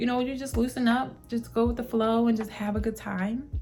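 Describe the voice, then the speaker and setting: Music plays in the background as a woman speaks. Her pitch is fairly high and her pace fairly quick. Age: 20s. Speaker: lifestyle vlogger. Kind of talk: casual vlog monologue. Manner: conversational.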